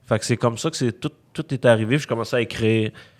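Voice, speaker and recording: A man speaks with a Quebec accent. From Quebec, Montreal (Rosemont). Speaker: rapper. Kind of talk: casual chat. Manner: halting.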